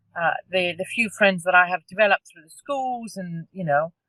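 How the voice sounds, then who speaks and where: In a Cypriot accent, a woman speaks with fairly even intonation. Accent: Greek Cypriot. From Cyprus (Greek Cypriot). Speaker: parent carer. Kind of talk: testimony. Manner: halting.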